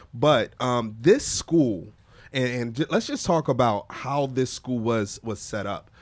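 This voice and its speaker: A man talks at a fairly slow pace. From Philadelphia, South Philly. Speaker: podcast host. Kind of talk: casual chat.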